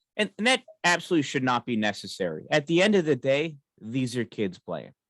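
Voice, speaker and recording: A loud man with an American accent and a medium pitch talks fairly quickly with very wide pitch swings, recorded dry and close with no echo on a very clean, silent background. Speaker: hockey game announcer and podcast co-host. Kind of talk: casual chat.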